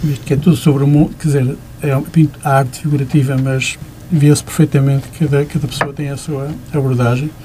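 A man with a fairly high pitch at a fairly quick pace, monotone and flat, with noticeable background noise. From Porto, Portugal. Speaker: visual artist. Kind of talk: radio interview. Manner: halting, many fillers.

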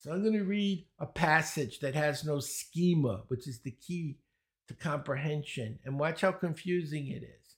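A man's somewhat breathy, fairly high-pitched voice in a Brooklyn accent at a moderate pace, in a very clean recording with a silent background. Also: ordinary pitch variation. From US Northeast, Brooklyn, New York. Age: 70s. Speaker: speed reading and learning teacher. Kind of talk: interview conversation. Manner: animated, joking.

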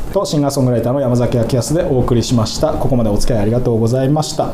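A man of medium pitch with a Fukushima accent talks very fast with hardly any pauses and very even loudness, over noticeable background noise. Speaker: singer-songwriter hosting a radio podcast. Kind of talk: casual chat.

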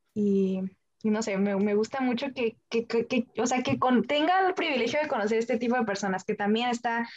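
Someone talks in an ordinary speaking voice with ordinary pitch variation. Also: woman. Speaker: engineering student. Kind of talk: interview.

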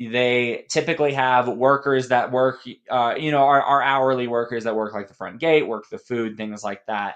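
With an American accent and a normal speaking voice, a man talks at a moderate pace with hardly any pauses, his pitch medium and his intonation fairly even. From Colorado. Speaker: street performer and ocarina musician. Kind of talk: casual interview.

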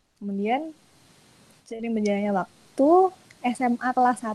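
Her pitch is high and her tone dark and mellow as a woman speaks at a fairly slow pace with ordinary pitch variation. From Indonesia, Bantul (Yogyakarta). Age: 20s. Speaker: in-house lawyer. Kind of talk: webinar talk.

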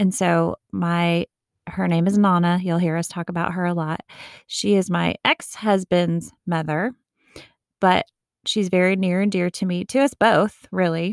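A woman with a plain, everyday voice talks at a fairly slow pace, her pitch fairly low and her intonation fairly even, in a very clean, dry, close recording with a silent background and no echo. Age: 40s. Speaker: podcast co-host. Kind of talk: casual chat.

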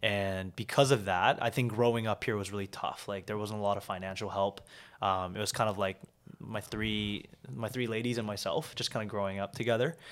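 This man has an ordinary speaking voice with a Canadian accent, a fairly low pitch, fairly even intonation and a fairly quick pace. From Vancouver, Canada (born in South Korea, moved at 7). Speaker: entrepreneur. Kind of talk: interview.

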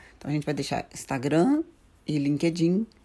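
A woman's very deep, low voice carries a dark, mellow tone on a very clean recording with a silent background. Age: 40s. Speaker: podcast co-host, psychologist. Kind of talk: casual chat.

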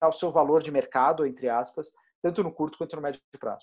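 A man speaks in a normal speaking voice with a fairly high pitch. His pace is moderate, and the background is quiet. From Brazil, interior of Goiás. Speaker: startup co-founder. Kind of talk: interview.

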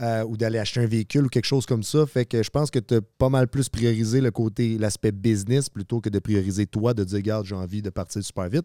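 A man with a Quebec accent talks very fast at medium pitch, with hardly any pauses, fairly even intonation and a dark, mellow tone. The recording is very clean with a silent background, the sound dry and close with no echo. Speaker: podcast co-host. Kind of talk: casual interview.

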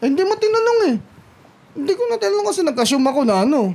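A woman with a high pitch speaks at a very fast pace. Noticeable background noise can be heard. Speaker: podcast co-host. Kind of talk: casual chat.

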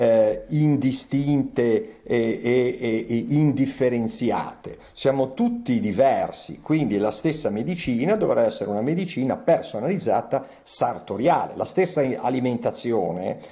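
A man talks in a normal speaking voice at medium pitch, with lively intonation. His pace is fairly slow, with hardly any pauses. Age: 60s. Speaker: physician. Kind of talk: interview.

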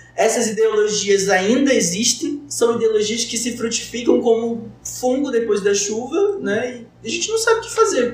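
With audible room echo and noticeable background noise, a man with an extremely high pitch talks at a moderate pace with hardly any pauses. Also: ordinary pitch variation. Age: 20s. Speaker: medical student, podcast co-host. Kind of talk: roundtable conversation. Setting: studio.

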